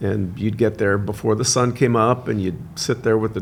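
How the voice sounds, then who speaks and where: A man with an American accent talks at a fairly quick pace in a fairly low pitch, with vocal fry and ordinary pitch variation. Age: 60s. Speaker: son of a film star, podcast guest. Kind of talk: casual interview chat.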